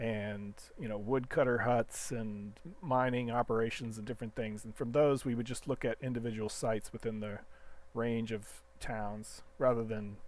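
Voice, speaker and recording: Fairly even intonation marks an unremarkable speaking voice going at a moderate pace. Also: man. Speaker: game developer. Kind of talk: live coding stream. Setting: live stream.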